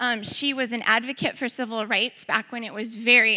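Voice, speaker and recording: A woman with a Midwestern American accent speaks at a moderate pace in a fairly high pitch, her intonation fairly even against a quiet background. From St. Louis area, Missouri (Ferguson). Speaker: church member sharing ministry experience. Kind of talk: testimony talk.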